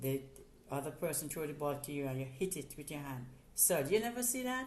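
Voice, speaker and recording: With a Jamaican accent, a woman talks at a very fast pace in a very deep, low pitch, her intonation lively amid audible room echo. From Jamaica, Portland parish. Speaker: interviewee, host's mother. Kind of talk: casual interview. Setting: in person.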